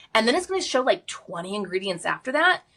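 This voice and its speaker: A woman at a very fast pace, with very wide pitch swings. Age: 40s. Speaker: skincare expert. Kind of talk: casual chat.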